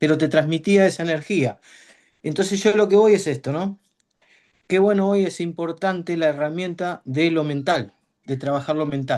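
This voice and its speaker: Ordinary pitch variation at a moderate pace against a quiet background. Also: man, high pitch for a man. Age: 60s. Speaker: aspiring football coach. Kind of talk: casual chat.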